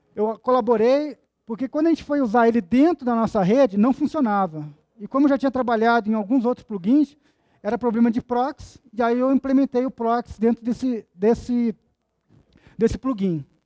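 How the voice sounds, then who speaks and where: A man's extremely high pitch, dark and mellow in tone, with ordinary pitch variation. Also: moderate pace, quiet background. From Brazil. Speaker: GIS analyst and conference speaker; conference speaker. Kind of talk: conference talk. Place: hall.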